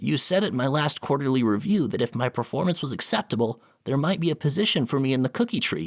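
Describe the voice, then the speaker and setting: A man in a put-on character voice, fairly high-pitched, at a very fast pace with hardly any pauses, in a very clean recording with a silent background. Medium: read story. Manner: timid, deferential.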